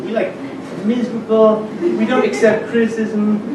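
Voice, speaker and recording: A man speaks with high pitch. Audible room echo and noticeable background noise fill the recording. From Germany. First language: German. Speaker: comedian. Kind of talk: stand-up. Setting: stage with audience. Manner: halting.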